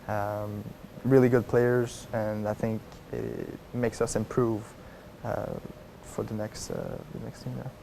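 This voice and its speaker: A man with a French accent, fairly low in pitch, at a fairly slow pace with long, frequent pauses, fairly even intonation and big swings in loudness. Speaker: college tennis player. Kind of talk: interview. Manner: halting, many fillers.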